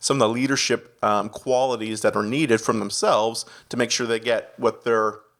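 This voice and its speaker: A man speaks at a moderate pace in a flat monotone, with a slight Canadian accent and a medium pitch. The recording is very clean, with a silent background. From Canada. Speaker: executive pastor. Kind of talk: podcast interview.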